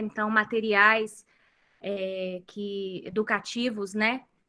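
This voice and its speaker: This is a woman speaking. Her voice sits fairly high. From Brazil. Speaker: homeschooling mother. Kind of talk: interview. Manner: hesitant, many fillers.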